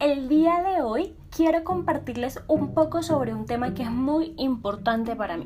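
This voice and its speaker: The voice moves at a moderate pace with very wide pitch swings. Music plays in the background. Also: woman. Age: adult. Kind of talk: podcast monologue. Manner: casual, personal.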